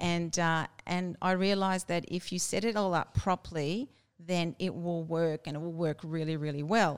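In an Australian accent, a woman with a fairly low pitch speaks with fairly even intonation on a very clean recording with a silent background. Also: moderate pace. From Brisbane, Australia. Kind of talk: interview.

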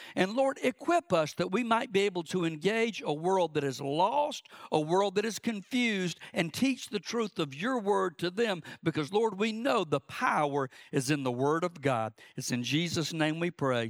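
This man speaks with a Southern US accent in a high voice, his pitch swinging very widely. The sound is dry and close, with no echo. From South Georgia, US. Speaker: preacher. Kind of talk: sermon. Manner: fast talker.

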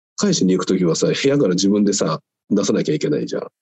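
A man at a fairly quick pace. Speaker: weightlifter. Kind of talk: casual chat.

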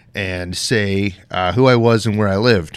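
A man speaks with an American accent in a plain, everyday voice, fairly low in pitch with ordinary pitch variation, on a very clean recording with a silent background. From US West, southwest Colorado. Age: 40s. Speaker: knife maker and military veteran. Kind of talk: casual interview.

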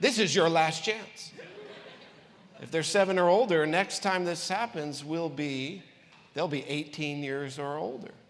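Amid noticeable background noise and audible room echo, a man with a fairly high pitch speaks at a fairly slow pace with ordinary pitch variation and long, frequent pauses. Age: 40s. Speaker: pastor. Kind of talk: sermon. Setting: church. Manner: animated.

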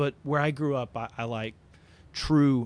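Against a quiet background, a man with an Appalachian accent speaks at a fairly slow pace with ordinary pitch variation. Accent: Appalachian Southern American. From US South, Appalachian southwest Virginia. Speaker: record label owner. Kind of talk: casual interview.

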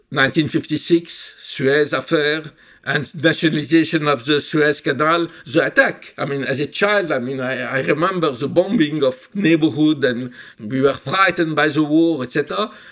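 A man's fairly high, bright, sharp voice in a French accent, fairly slow, with ordinary pitch variation. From Egypt, Cairo. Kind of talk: interview.

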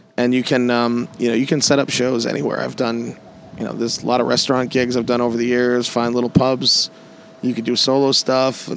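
Fairly quick, flat, monotone delivery over noticeable background noise. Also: man, medium pitch for a man. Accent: American. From US Northeast, Massachusetts. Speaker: piano bar entertainer. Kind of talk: casual interview. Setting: outdoors on an island.

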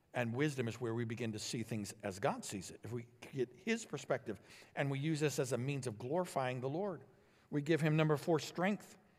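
A normal speaking voice moves at a fairly quick pace with lively intonation. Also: man, medium pitch for a man. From Illinois, US Midwest. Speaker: pastor. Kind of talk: sermon. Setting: church.

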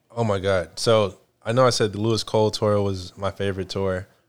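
An American-accented man speaks at a moderate pace and fairly low pitch, his intonation monotone and flat. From Houston, Texas. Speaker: jazz pianist. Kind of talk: casual interview. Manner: halting.

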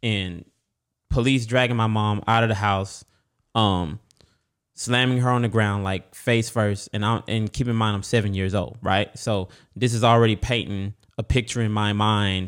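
An ordinary speaking voice from a man with an American accent, medium in pitch, moderate in pace, fairly even in intonation. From Texas. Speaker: church member. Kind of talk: casual conversational interview.

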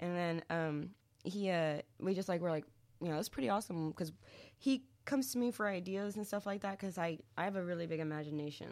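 A woman with an American accent talks at a very fast pace, her fairly low voice showing ordinary pitch variation. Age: 20s. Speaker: singer in a band. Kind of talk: casual chat.

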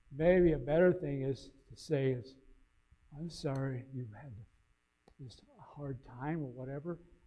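A man talks slowly at a fairly high pitch with ordinary pitch variation. Long, frequent pauses and audible room echo mark the clip. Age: 60s. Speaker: pastor. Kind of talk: sermon.

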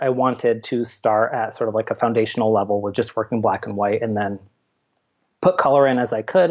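A man with an American accent speaks in a plain, everyday voice at medium pitch. He talks at a fairly quick pace with ordinary pitch variation. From upstate New York. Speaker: artist and university lab manager. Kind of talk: interview conversation. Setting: remote call.

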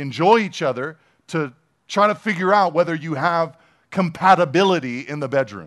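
A man speaks in an unremarkable speaking voice at a fairly high pitch and a moderate pace, with ordinary pitch variation. The background is quiet. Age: 40s. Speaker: pastor. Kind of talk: sermon.

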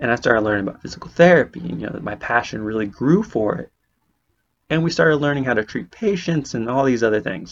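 The intonation rises and falls in a lively way. The words rush out at a very fast pace. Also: man, medium pitch for a man. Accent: West Coast American. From California, Bay Area. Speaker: podcast host, physical therapy student. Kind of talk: podcast monologue. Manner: casual, conversational.

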